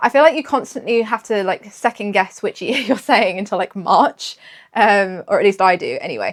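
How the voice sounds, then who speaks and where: A British accent, dry and close with no echo, on a very clean recording with a silent background. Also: woman, fairly high pitch for a woman, ordinary pitch variation, moderate pace. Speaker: knitting podcaster. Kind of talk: casual chat.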